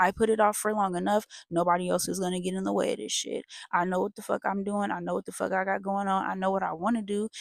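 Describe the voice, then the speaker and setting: With a dry, close sound and no echo, a woman speaks very fast at a medium pitch in a monotone, flat intonation. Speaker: tarot reader. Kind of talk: tarot reading. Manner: halting; casual.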